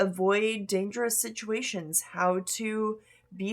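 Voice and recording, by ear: The voice reads aloud naturally, and its intonation holds mostly level.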